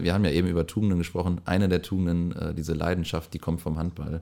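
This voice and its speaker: A man's very deep, low voice, dark and mellow in tone, with monotone, flat intonation, in a very clean recording with a silent background. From East Westphalia, Germany (Lippe area). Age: 20s. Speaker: startup founder and designer. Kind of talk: podcast interview. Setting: studio room with blankets to dampen echo.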